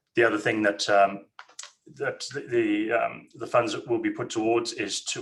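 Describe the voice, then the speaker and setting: The speaker talks at a moderate pace with a Zimbabwean accent. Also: man. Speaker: company managing director. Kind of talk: investor webinar presentation. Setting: webinar. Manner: hesitant, many fillers.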